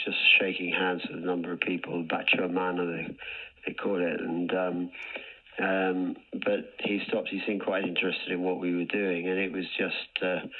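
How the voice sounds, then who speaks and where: A man with a very deep, low voice speaks at a moderate pace in a monotone, flat intonation, with noticeable background noise. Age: 70s. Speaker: charity cyclist. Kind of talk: radio interview. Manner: halting.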